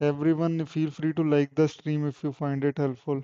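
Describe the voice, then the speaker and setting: A man with a Punjabi accent, fairly high in pitch, monotone and flat, at a fairly slow pace. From Punjab, India. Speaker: software engineer and coding streamer. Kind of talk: live stream Q&A reading chat. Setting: live stream on laptop.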